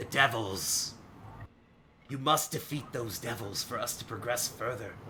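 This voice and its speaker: A man's raspy, put-on character voice at a moderate pace, over clear background noise. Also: medium pitch for a man. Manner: commanding.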